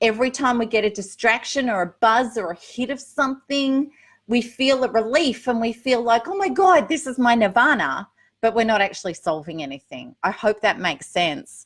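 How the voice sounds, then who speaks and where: A woman's fairly high voice in an Australian accent, moderate in pace, with lively intonation. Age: 50s. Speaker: recovery coach. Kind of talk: live Q&A. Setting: livestream. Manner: casual, chatty.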